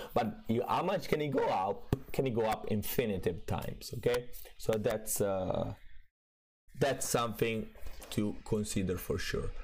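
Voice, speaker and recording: A fairly slow pace in an Italian accent. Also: man. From Italy. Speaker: crypto trading streamer. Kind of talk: livestream market commentary. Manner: hesitant, many fillers.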